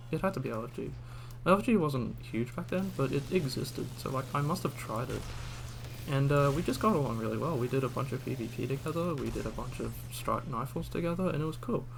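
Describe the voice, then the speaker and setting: A man with an Australian accent at a very fast pace, with audible room echo. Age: 20s. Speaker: gaming streamer. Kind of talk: casual gameplay chat. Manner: rambling, hesitant with fillers.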